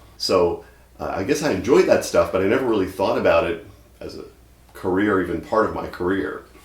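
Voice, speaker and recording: A man with an American accent at a fairly quick pace, big swings in loudness, and audible room echo. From Mississippi. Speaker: university instructor and singing weatherman. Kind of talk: documentary interview; children's science show. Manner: animated.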